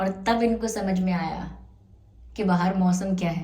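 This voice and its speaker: Amid noticeable background noise and audible room echo, a woman talks at a very slow pace with fairly even intonation. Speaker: tarot reader. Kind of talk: tarot reading to camera. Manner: casual, Hindi-English code-switching.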